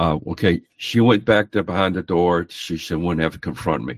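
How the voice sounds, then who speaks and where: Vocal fry runs through speech at a moderate pace, recorded dry and close with no echo in a very clean recording with a silent background. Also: man. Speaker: street preacher and court litigant. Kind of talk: casual storytelling.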